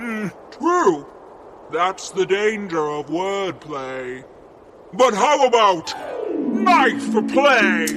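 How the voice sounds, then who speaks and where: A man's put-on character voice, high-pitched and very slow, with clear background noise. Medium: audio drama. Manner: menacing.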